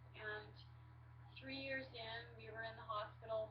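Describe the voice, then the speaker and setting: Flat, monotone speech from a woman, with audible room echo and noticeable background noise. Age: 40s. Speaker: patient sharing illness story. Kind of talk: personal testimony to webcam. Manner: hesitant, many fillers.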